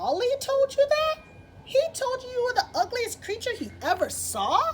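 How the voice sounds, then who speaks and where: Over clear background noise, a woman puts on a squeaky character voice and speaks at a moderate pace. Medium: read story. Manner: kindly, matter-of-fact.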